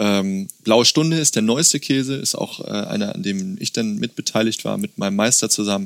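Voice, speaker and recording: This man has an unremarkable speaking voice, medium in pitch, with lively intonation at a moderate pace. The sound is dry and close, with no echo. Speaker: farm owner and cheesemaker. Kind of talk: casual interview with cheese tasting. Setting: on the farm, face to face.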